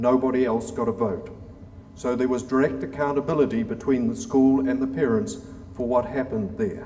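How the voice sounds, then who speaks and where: Speaking at a fairly quick pace with a New Zealand accent, a man is heard with audible room echo and noticeable background noise. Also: medium pitch for a man, ordinary pitch variation. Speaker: former diplomat and government reformer. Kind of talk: conference lecture.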